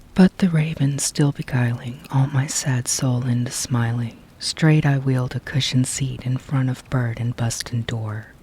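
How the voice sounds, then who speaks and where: Soft-spoken, a man talks at a moderate pace with a medium pitch and fairly even intonation. Background noise is noticeable. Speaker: storyteller. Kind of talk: ASMR poetry reading. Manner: quiet, soft-spoken.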